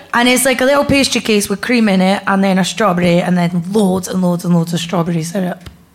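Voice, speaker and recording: Over noticeable background noise, a woman with an Edinburgh accent talks very fast with hardly any pauses, in a medium pitch with ordinary pitch variation and very even loudness. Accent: Scottish (Edinburgh). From Scotland, Edinburgh. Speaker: comedian. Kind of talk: casual chat before live audience. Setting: comedy club with live audience.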